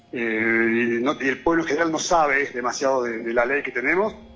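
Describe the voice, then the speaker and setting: Fairly quick speech from a man, medium in pitch, with ordinary pitch variation. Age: 50s. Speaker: local political candidate, hotelier. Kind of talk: radio interview. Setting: phone call. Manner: halting, many repetitions.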